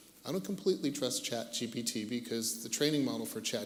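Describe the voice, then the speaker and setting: Amid audible room echo, a man with an American accent talks at a very fast pace, his medium pitch showing ordinary pitch variation. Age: 60s. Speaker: tech industry veteran, panelist. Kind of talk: panel discussion.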